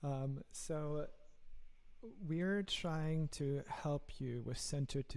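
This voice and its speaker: A man talks at a very slow pace. He speaks with a German accent. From Germany. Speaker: software engineer and app founder. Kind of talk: podcast interview.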